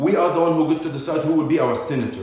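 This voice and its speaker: With a non-native accent and an animated tone, a man talks in a fairly high voice, with audible room echo and noticeable background noise. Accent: foreign accent, noticeable. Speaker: vlogger, community figure. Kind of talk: impassioned monologue. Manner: animated, emphatic.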